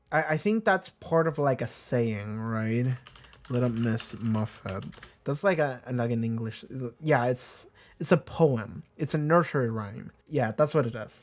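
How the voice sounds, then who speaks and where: A man with a non-native accent, lively intonation and a fairly slow pace, on a very clean recording with a silent background. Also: medium pitch for a man. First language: not English. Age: 20s. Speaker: TV show reaction youtuber. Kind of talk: casual chat. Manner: rambling, hesitant with fillers.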